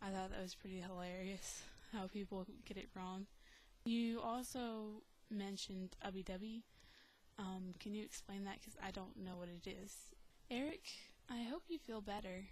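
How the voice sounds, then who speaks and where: Soft-spoken and somewhat breathy, a woman with an American accent talks at a moderate pace and medium pitch, with ordinary pitch variation and long, frequent pauses. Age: 20s. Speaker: video blogger. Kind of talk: casual vlog. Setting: home recording. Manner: many ums and hesitations.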